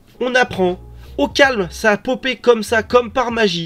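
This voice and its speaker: A man at a fairly slow pace. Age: 30s. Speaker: manga news youtuber. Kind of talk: casual news commentary. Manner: animated.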